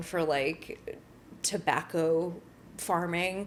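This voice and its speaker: A woman's fairly low voice in an American accent at a very slow pace. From northern Connecticut, US. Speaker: activist and social media creator. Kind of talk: interview conversation. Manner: casual, filler-heavy.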